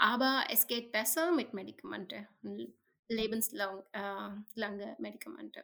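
A woman with a fairly high pitch and vocal fry speaks at a fairly slow pace, with lively intonation. Her pauses are long and frequent. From India. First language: not German; learning German for about a year (speaking German). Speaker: tech NGO employee with a rare health condition. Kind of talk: interview. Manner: halting, many fillers in a new language.

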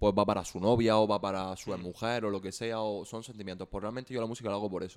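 A man talks at a very fast pace. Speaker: musician. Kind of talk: casual chat.

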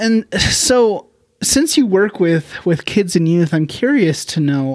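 With lively intonation and a fairly slow pace, a man speaks in a plain, everyday voice. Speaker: podcast host. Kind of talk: casual interview chat.

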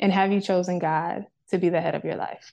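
A woman speaks in a dark, mellow tone. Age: 20s. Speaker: faith podcast host. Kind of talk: devotional teaching monologue. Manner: conversational, with filler words.

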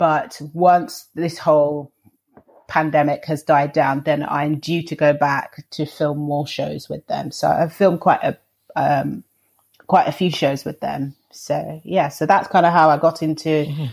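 A woman speaks in a London accent with a very deep, low pitch. Her pace is fairly slow and her intonation fairly even. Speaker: vegan chef and TV presenter. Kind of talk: interview.

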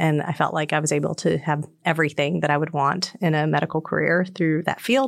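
A woman with an American accent, a very deep, low pitch, a moderate pace and fairly even intonation. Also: very clean recording, silent background. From North Carolina. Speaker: physician and professor. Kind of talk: casual interview.

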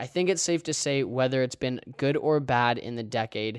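At a fairly quick pace, a normal speaking voice comes through on a very clean recording with a silent background. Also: man. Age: 20s. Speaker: sports podcast host. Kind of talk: solo podcast monologue. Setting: recording while traveling.

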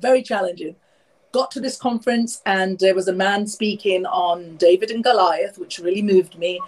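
The voice has a London accent and ordinary pitch variation. It moves at a moderate pace. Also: woman, medium pitch for a woman. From London, England. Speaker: author and speaker. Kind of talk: interview. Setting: video call.

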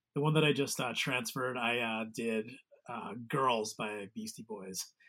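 A man speaks with an American accent. His intonation is lively and his pace moderate. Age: 40s. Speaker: musician and guitar tech. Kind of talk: casual interview chat. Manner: halting.

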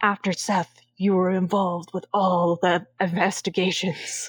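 A female-sounding, raspy put-on character voice speaks at a middle pitch and a moderate pace. The delivery stays monotone, with flat intonation.

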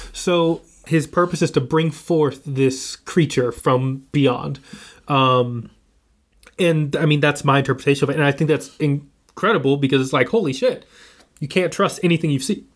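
A man talks at a moderate pace over a quiet background. He has an ordinary speaking voice, fairly high in pitch, with ordinary pitch variation. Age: 20s. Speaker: film student and horror fan. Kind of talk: casual chat. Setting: in-person recording in an office, one shared microphone.

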